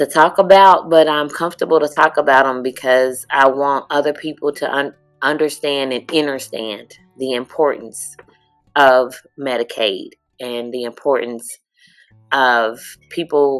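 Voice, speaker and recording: A woman with a very deep, low voice speaks at a fairly slow pace. Music plays in the background. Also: ordinary pitch variation. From Lexington, Kentucky. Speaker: community advocate. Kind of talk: interview answer.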